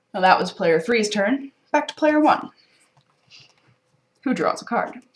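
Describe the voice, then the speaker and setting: A woman speaks at a fairly slow pace in a fairly high voice, her pitch swinging very widely. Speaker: board game presenter. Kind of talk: game tutorial walkthrough.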